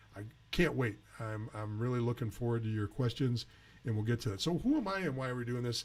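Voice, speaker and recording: A man at a very fast pace, medium in pitch, somewhat breathy, with ordinary pitch variation. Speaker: junior hockey advisor and show host. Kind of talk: live Q&A webcast. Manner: hesitant, many fillers.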